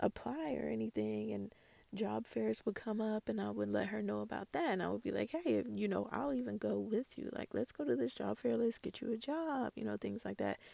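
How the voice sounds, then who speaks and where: The sound is dry and close with no echo as a woman speaks in a calm tone at a fairly quick pace. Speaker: youth mentor and podcast host. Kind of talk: casual podcast talk. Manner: calm, sleepy.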